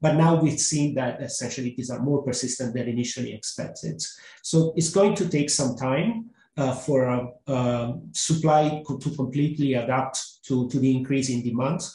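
A man's dark, mellow voice comes through with audible room echo. He is somewhat breathy, at a moderate pace with ordinary pitch variation. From Italy. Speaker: economist; panelist. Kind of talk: webinar panel discussion. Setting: webinar. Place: home room.

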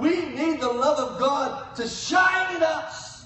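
In a room with audible echo, a man speaks slowly at an extremely high pitch, his tone bright and sharp, with ordinary pitch variation.

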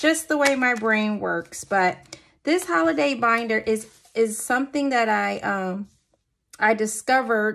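This woman's speech has lively intonation. She goes at a fairly slow pace. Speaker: budgeting vlogger. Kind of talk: casual vlog chat. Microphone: phone near.

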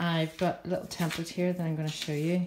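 A woman speaks at a moderate pace in a fairly low pitch with monotone, flat intonation. Noticeable background noise is present. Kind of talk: tutorial. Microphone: phone near.

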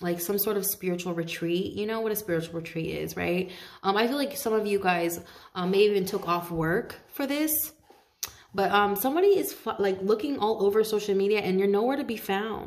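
The background is quiet. A woman talks at a fairly quick pace with ordinary pitch variation. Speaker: tarot reader. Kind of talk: casual tarot reading talk. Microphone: phone near.

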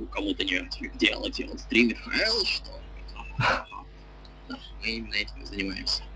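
Speaking at a fairly slow pace, a man leaves long, frequent pauses while noticeable background noise runs underneath. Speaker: game stream commentator. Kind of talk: live commentary. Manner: loud.

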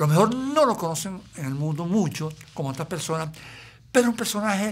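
Here a man speaks in a high voice. His intonation is lively. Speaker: interview host; stand-up comedian. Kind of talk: interview talk.

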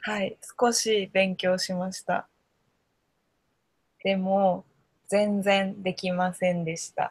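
A woman's somewhat breathy, monotone voice with flat intonation, very slow and broken by long, frequent pauses, over a quiet background in a dry sound with no echo. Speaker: Japanese conversation tutor. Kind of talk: casual conversation for learners. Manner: slow, simple words. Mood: cheerful, smiling, laughing. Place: home room. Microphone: video call.

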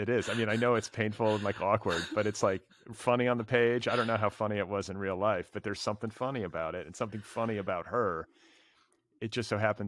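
Against a quiet background, a man with a Midwestern American accent talks at a fairly quick pace and fairly low pitch, the sound dry with no echo. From US Midwest. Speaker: literary podcast host. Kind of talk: casual interview conversation. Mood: warm, amused. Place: home room. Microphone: studio mic.

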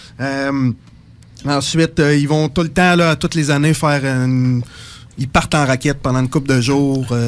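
Talking at a moderate pace, this man has a fairly high pitch, very even loudness, fairly even intonation, and long, frequent pauses. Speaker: psychosocial worker. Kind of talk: radio interview. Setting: radio studio.

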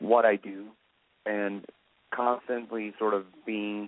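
The sound is dry, with no echo. A man talks at a very slow pace. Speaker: guest. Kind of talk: interview answer. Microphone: phone line.

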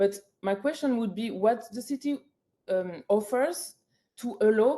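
A woman with a French accent speaks at a fairly slow pace in a fairly high pitch, her dark, mellow tone moving through very wide pitch swings. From France. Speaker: public hearing speaker. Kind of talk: public testimony. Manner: halting, many fillers.

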